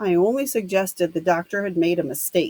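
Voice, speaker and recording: Putting on a gruff character voice, a woman speaks at medium pitch and a fairly quick pace with ordinary pitch variation, the sound dry and close with no echo. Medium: read story. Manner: blunt, gruff.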